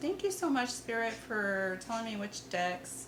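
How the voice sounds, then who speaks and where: Audible echo from the room mixes with noticeable noise behind the speech. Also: woman. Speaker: tarot reader. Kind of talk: tarot reading. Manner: casual, chatty.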